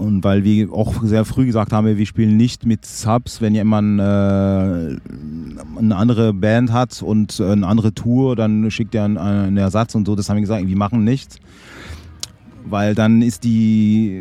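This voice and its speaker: A man with a dark, mellow tone speaks at a fairly slow pace. His intonation is fairly even and his loudness very even. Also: fairly low pitch for a man. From French-speaking Switzerland. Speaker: trombonist in a band. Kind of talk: interview. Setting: in person. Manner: halting, many fillers.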